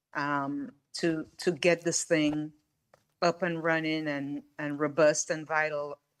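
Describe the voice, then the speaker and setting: In a very clean recording with a silent background, a woman with a very deep, low pitch speaks at a very slow pace with fairly even intonation. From Caribbean. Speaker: board member. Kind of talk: public meeting discussion. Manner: halting.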